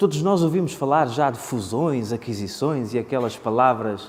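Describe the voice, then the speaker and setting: Audible room echo surrounds a man speaking fairly slowly at a medium pitch in a Porto accent. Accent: Porto accent, northern Portugal. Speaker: conference speaker on economics. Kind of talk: conference presentation. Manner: hesitant, many filler sounds.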